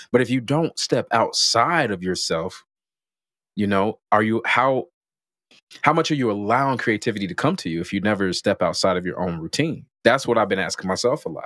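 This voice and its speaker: A man with an American accent and an unremarkable speaking voice talks at a fairly quick pace in a medium pitch, with lively intonation, on a very clean recording against a silent background. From Chicago. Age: 30s. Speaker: podcast host. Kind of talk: casual interview chat.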